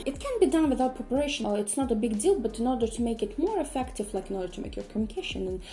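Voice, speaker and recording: Over noticeable background noise, a woman with a high pitch talks very fast with lively intonation and hardly any pauses. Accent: Russian. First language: Russian. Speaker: polyglot YouTuber. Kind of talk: casual vlog Q&A. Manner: hesitant, frequent fillers.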